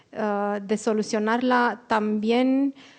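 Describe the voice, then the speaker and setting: A woman's fairly high pitch comes through over a quiet background. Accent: non-native. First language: Romanian (speaking Spanish). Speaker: panelist, democracy communications expert. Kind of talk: panel presentation. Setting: auditorium with audience. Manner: halting, searching for words.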